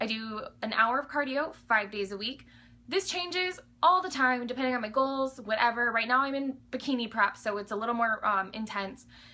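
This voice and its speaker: Loud and bright with a sharp tone, a woman speaks at a fairly high pitch with ordinary pitch variation. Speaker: fitness vlogger, bikini competitor. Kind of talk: casual Q&A vlog. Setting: home alone. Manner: animated.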